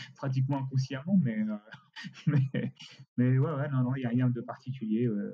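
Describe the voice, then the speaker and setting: Speaking at medium pitch in a dark, mellow tone, a man keeps a moderate pace and fairly even intonation, with long, frequent pauses. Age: 60s. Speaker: costume rental company director. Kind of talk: interview. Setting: remote recording. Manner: halting.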